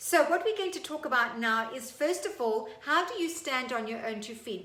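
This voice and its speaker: A woman's raised, projected high voice, animated in tone, with lively intonation at a moderate pace, over noticeable background noise. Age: 50s. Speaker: fitness instructor. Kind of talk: tutorial.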